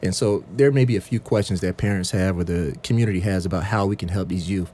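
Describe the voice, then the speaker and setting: Speaking at a very fast pace, a man with a very deep, low voice uses ordinary pitch variation. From US South, Sumter, South Carolina. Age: 30s. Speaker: youth program director. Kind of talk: radio panel discussion. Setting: radio studio.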